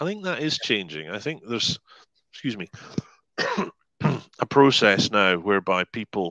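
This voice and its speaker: Lively intonation in a bright, sharp tone, with a dry, close sound and no echo. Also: man. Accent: Scottish. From Scotland. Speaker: hypnotherapist and life coach. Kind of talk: podcast interview answer.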